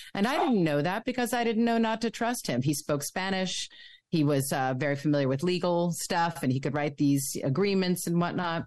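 An unremarkable speaking voice with an American accent, lively intonation, moderate pace and very even loudness, set against a quiet background. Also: woman, fairly low pitch for a woman. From New York City. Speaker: author and former radio music director. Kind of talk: interview, personal testimony.

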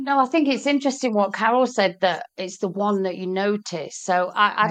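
With a British accent, a woman speaks at a medium pitch. Her intonation is lively. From Britain. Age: 50s. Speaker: small business owner. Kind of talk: casual chat.

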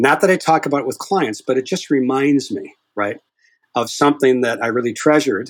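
At a moderate pace, a man speaks at a medium pitch. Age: 60s. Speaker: hypnotist. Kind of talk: casual interview.

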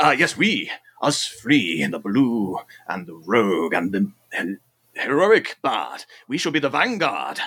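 A man talks at a fairly slow pace. His loudness swings a lot. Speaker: player in role-playing game.

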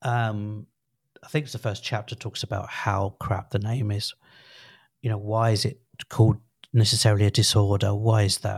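A somewhat breathy man with a British accent speaks at a moderate pace and medium pitch, recorded very cleanly with a silent background. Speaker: podcast co-host. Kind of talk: casual chat.

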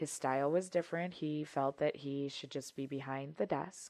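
A woman's monotone, flat delivery in an American accent. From Wisconsin. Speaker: safety professional. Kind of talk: casual interview chat.

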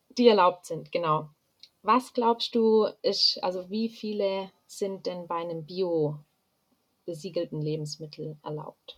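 A woman talks at a very slow pace, her medium-pitched voice showing ordinary pitch variation. Her loudness swings widely. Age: 20s. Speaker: university student. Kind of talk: casual interview.

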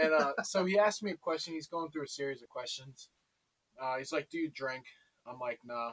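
An ordinary speaking voice from a man, fairly high in pitch and at a fairly quick pace, with ordinary pitch variation, big swings in loudness, and a dry, close sound with no echo. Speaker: friend of the hosts. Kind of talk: casual chat.

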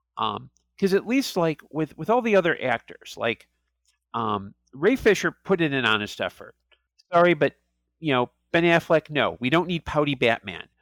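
Speaking at a moderate pace with vocal fry, a man with a fairly high pitch swings very widely in tone, the sound dry and close with no echo. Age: 40s. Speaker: film podcast guest. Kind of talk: casual chat. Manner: halting, many fillers and repeats.

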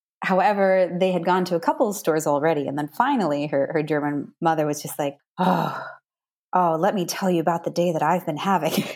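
A woman with an American accent, a plain, everyday voice, fairly low pitch, ordinary pitch variation and a fairly quick pace. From US, Maine. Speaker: cultural and business trainer. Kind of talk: interview, casual chat.

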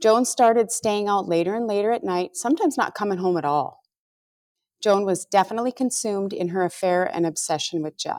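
Her medium-pitched voice is a plain, everyday voice with lively intonation and a fairly quick pace. The woman is heard on a very clean recording with a silent background. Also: dry, close sound with no echo. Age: middle-aged. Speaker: true crime podcast co-host. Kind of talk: scripted narration; casual chat.

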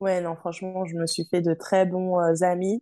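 At a fairly slow pace, a woman speaks at a fairly low pitch in a dark, mellow tone, with a dry, close sound, no echo and a quiet background. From Paris suburbs, France. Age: 20s. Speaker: former hospital worker turned traveler. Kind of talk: interview.

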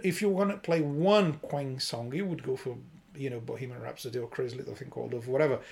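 A man speaks at a fairly quick pace in a somewhat breathy voice, with ordinary pitch variation. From Brazil. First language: Portuguese. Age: 20s. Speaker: podcast co-host. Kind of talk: casual chat. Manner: hesitant, halting.

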